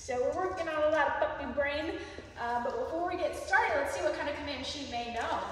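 Her speech races at a very fast pace, a woman with a high pitch and lively intonation, set against light background noise and strong room echo. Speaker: dog trainer. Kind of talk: casual explanation to camera. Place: hall. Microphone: camera far.

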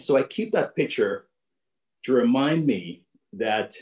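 It's quiet behind this man. His intonation is lively. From Jamaica. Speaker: business executive and keynote speaker. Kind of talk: keynote speech. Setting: video call. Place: home room. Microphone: video call.

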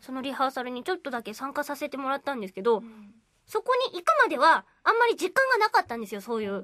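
A woman projects her voice at a high pitch and a very fast pace, with very wide pitch swings and big swings in loudness, over a quiet background. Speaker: voice actor. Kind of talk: radio talk show conversation. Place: studio. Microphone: studio mic.

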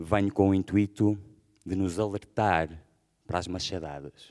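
Against a quiet background, a man speaks fairly slowly at a fairly low pitch. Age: 40s. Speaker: rapper and poet; poet. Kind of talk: spoken-word manifesto. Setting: stage with audience. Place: stage. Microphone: podium.

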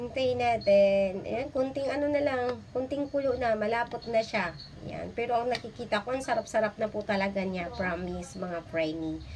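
Against noticeable background noise, a woman speaks at a moderate pace in an animated tone with lively intonation. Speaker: cooking vlogger. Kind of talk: cooking tutorial. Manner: chatty, animated.

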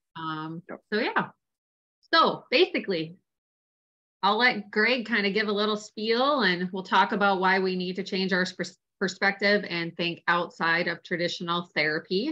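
A woman with a plain, everyday voice talks at medium pitch, a moderate pace and ordinary pitch variation. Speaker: occupational therapist and online business founder. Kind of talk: casual introduction. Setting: video call.

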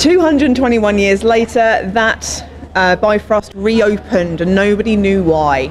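A woman speaks at a fairly slow pace with ordinary pitch variation. Light background noise sits underneath. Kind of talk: interview answer. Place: gym. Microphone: handheld.

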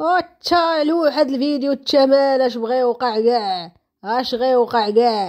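This woman's voice is high, and her intonation is lively. She speaks at a very slow pace. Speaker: social media commentator. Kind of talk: casual vlog commentary. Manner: animated.

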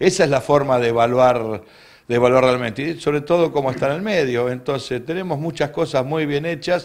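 A fairly high-pitched man at a fairly quick pace with ordinary pitch variation, over a quiet background. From Argentina, Río Gallegos (Santa Cruz); Santa Cruz, Argentina. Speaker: university dean. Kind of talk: interview. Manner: halting, with many repetitions. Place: office. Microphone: handheld.

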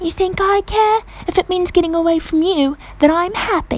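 Putting on a British-accented character voice, the speaker talks at a moderate pace and an extremely high pitch over clear background noise. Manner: defiant, annoyed.

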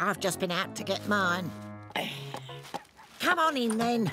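Over faint background music, a cartoonish character voice moves slowly with big pitch swings and a bright, sharp tone. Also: woman, medium pitch for a woman.

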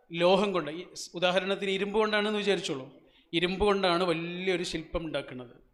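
Audible room echo colors this recording. A man speaks in a high pitch with fairly even intonation. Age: 40s. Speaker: motivational speaker. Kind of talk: motivational speech. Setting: stage with audience.

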